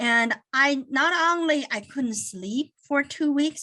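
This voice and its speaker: Bright, sharp tone and lively intonation from a woman with a Chinese accent, against a quiet background. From China. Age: 50s. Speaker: accounting firm managing partner. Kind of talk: webinar talk.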